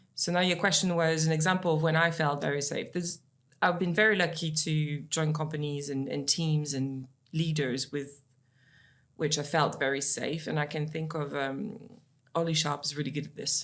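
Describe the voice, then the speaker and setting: A woman's very deep, low voice at a moderate pace with fairly even intonation, in a very clean recording with a silent background. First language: not English. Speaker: sales leader. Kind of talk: podcast interview. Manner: hesitant, many fillers.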